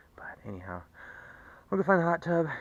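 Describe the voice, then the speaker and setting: The speaker is a man. He talks at a fairly quick clip. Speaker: car enthusiast vlogger. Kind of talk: casual vlog monologue. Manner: fast; excited, repetitive.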